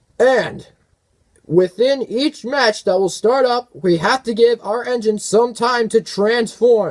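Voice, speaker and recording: A man's put-on character voice, extremely high-pitched, at a fairly slow pace. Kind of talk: sports arena announcing. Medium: audio drama. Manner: showy.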